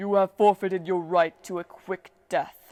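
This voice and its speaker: In a growling put-on character voice of middle pitch, the speaker keeps a monotone, flat intonation at a moderate pace. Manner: snarling, threatening.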